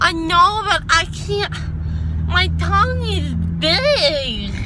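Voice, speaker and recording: Loud background noise sits behind a woman whose voice is dry, with no echo. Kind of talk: casual vlog chat. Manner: numb-tongued, slurred sleepy speech. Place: car. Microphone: phone near.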